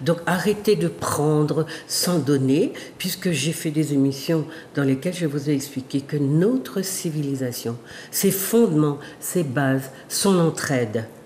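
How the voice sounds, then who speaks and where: Over noticeable background noise, a woman with a very deep, low pitch speaks at a very slow pace with ordinary pitch variation. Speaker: sociologist and talk show host. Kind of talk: monologue to viewers. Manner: halting.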